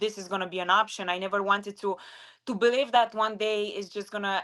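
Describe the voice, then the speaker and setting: At a very fast pace, a woman with a strong non-native accent talks in a bright, sharp tone with fairly even intonation. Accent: strong foreign. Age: 20s. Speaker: retired MMA fighter and sports analyst. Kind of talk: interview.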